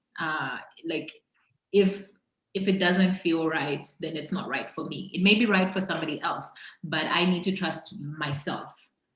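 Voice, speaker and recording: In a room with audible echo, a woman with fairly low pitch speaks at a moderate pace and fairly even intonation. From Zambia. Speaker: entrepreneur. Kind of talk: interview conversation.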